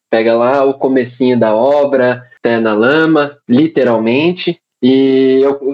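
An unremarkable speaking voice from a man, fairly high in pitch, with ordinary pitch variation. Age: 20s. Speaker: civil engineer and American football referee. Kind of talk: casual podcast interview.

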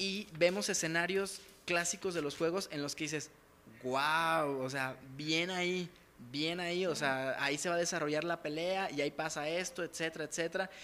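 On a very clean recording with a silent background, a man with a Mexican accent speaks in a bright, sharp tone at a fairly high pitch, a moderate pace, and with fairly even intonation. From Mexico. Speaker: podcast co-host. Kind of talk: casual chat. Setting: in-person studio at a home.

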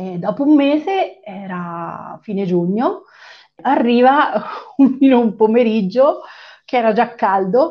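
A woman speaks very slowly in a fairly high voice. Her pitch swings very widely and her loudness rises and falls in big swings. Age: 40s. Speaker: web designer. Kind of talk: interview. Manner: halting.

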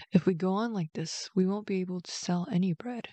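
A woman with a fairly low pitch speaks in a normal speaking voice. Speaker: bedtime story host. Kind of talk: bedtime story reading, scripted narration.

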